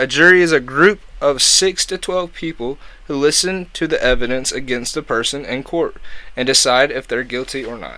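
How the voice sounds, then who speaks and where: A man with a fairly high, bright, sharp voice speaks at a moderate pace with ordinary pitch variation. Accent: American. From US. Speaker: YouTube podcaster. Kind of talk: explainer monologue. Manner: casual.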